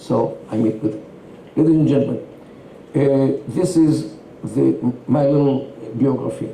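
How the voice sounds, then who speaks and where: Noticeable background noise and audible room echo surround the voice. It moves at a fairly slow pace with ordinary pitch variation. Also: man. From Israel, Tel Aviv. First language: Yiddish. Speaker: Middle East expert. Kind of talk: interview. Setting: stage with audience.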